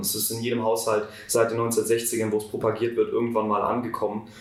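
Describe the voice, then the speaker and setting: There is noticeable background noise and audible room echo as a man speaks at a moderate pace and medium pitch. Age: 18. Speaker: student climate activist. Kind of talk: interview.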